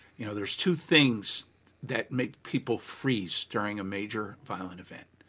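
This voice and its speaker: The tone is bright and sharp, delivered at a moderate pace with ordinary pitch variation. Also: man, big swings in loudness. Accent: American. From New Jersey, Monmouth County. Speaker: legal trainer and consultant. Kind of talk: interview.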